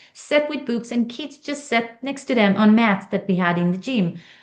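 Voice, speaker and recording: A woman with an Israeli accent speaks at a moderate pace, her intonation lively. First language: Hebrew. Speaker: author and stand-up comedian. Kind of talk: interview.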